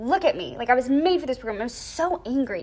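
A woman's very fast speech with very wide pitch swings over noticeable background noise. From US, raised in Thailand and Georgia. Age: 20s. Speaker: dance and English teacher. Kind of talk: casual interview.

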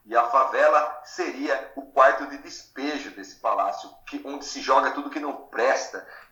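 A man speaks at a fairly slow pace with hardly any pauses and big swings in loudness. Noticeable background noise and audible room echo fill the recording. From interior of São Paulo state, Brazil (Matão). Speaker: literature teacher. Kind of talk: podcast interview.

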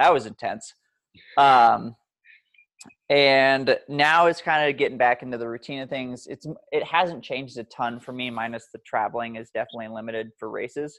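With big swings in loudness, a man speaks in a plain, everyday voice at a moderate pace with ordinary pitch variation, recorded very cleanly against a silent background. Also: medium pitch for a man. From Montana, US. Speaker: obstacle course racer and endurance coach. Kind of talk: casual chat. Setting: outdoors.

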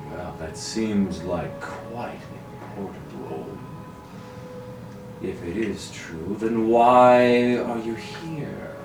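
Adopting a put-on character voice, a man speaks at a very slow pace in a medium pitch with long, frequent pauses, over clear background noise and a slight echo. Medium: actual play. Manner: condescending, regal.

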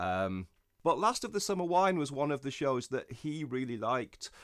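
A man with an English accent at a medium pitch, bright, sharp tone, very wide pitch swings and moderate pace, in a very clean recording with a silent background. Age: 40s. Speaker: writer. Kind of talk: casual chat.

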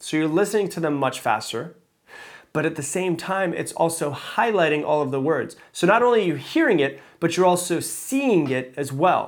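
A man's fairly high-pitched voice with lively intonation, on a very clean recording with a silent background. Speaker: motivational podcast host. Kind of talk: solo podcast monologue. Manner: fast.

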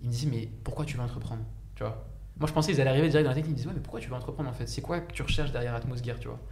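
Speech races along at a very fast pace. There is audible room echo and noticeable background noise. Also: man. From France, Saint-Denis (93), Egyptian heritage. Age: 20s. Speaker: engineer and startup founder. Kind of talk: casual chat. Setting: live stream. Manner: talkative.

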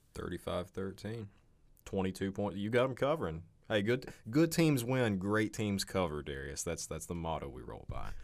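Vocal fry from a man at a fairly low pitch, with very wide pitch swings and a moderate pace. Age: 20s. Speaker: college sports podcast host. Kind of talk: casual sports chat.

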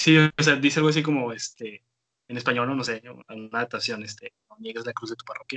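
With big swings in loudness, a medium-pitched man talks at a very fast pace with ordinary pitch variation, in a dry, close sound with no echo. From Tijuana, Mexico. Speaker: amateur musician. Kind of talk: casual chat. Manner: hesitant, many fillers.

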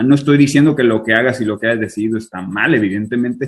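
A man speaks with a Sinaloan accent at a medium pitch. His pitch varies in an ordinary way. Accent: Sinaloa. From Mexico, Culiacán and Tijuana. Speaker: IT worker abroad. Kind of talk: casual interview.

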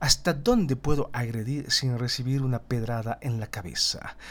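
In a very clean recording with a silent background, a somewhat breathy man speaks at a moderate pace with lively intonation. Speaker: political analysis podcaster; teacher. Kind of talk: solo political commentary. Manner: stumbles over words at times; tense, somewhat dramatic narration.

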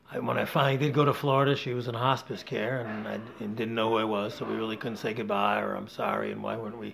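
Talking at a very fast pace with hardly any pauses, a man speaks with an American accent. Room echo is audible. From Rochester, New York. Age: 60s. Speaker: climbing guide. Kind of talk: casual interview. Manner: animated.

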